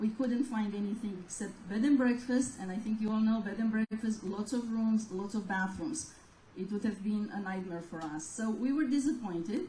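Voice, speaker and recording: The speaker has a Romanian accent, a moderate pace and ordinary pitch variation. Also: woman, fairly high pitch for a woman. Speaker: gallery owner. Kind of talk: interview.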